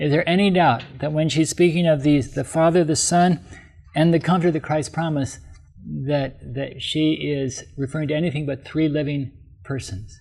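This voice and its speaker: A man speaks at a moderate pace with a fairly high, somewhat breathy voice. His pitch varies in an ordinary way. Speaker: preacher giving a Bible presentation. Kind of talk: sermon, reading scripture aloud. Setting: camp meeting talk.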